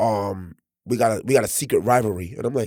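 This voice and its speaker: In a very clean recording with a silent background, a man speaks at a medium pitch. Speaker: podcast co-host and clothing designer. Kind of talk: casual chat. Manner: loud; animated.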